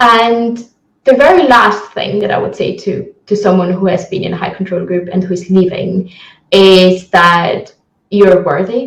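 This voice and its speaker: A woman with an Italian accent speaks at a fairly slow pace and a medium pitch. Her voice is somewhat breathy, and her intonation is fairly even. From Italy. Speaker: criminologist. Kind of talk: interview. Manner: hesitant, many fillers.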